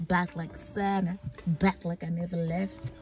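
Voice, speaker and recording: A woman speaks at a fairly low pitch, the sound dry with no echo. Faint music plays in the background. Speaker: vlogger. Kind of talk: casual vlog chat. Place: car. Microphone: phone near.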